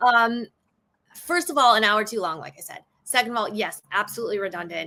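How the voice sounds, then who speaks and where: A woman is speaking. She has a strong Chicago accent. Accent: bold Chicago. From south side of Chicago. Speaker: stand-up comedian and actress. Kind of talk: podcast discussion. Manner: animated, casual.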